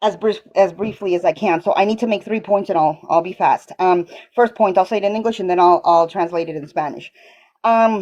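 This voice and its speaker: Speaking at a moderate pace, a woman has a dark, mellow tone, medium pitch, and ordinary pitch variation. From Colombia, moved to US as small child. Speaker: caller. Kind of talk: call-in debate question. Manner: halting, repetitive.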